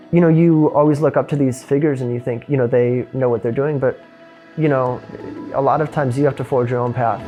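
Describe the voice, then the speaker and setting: Speaking very fast with a Midwestern American accent, a man of medium pitch keeps a fairly even intonation over background music. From Illinois, USA. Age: 20s. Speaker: physics student. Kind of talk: interview answer.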